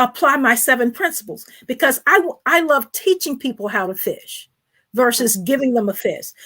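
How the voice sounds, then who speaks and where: A woman's raised, projected voice, high in pitch with very wide pitch swings, at a moderate pace. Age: 60s. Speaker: financial advisor and author. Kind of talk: interview.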